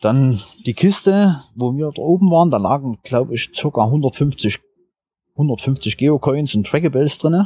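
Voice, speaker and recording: With a dark, mellow tone and lively intonation, a man speaks at a very slow pace in a fairly high pitch on a very clean recording with a silent background. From Saxony, Germany. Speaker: geocacher. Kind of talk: interview.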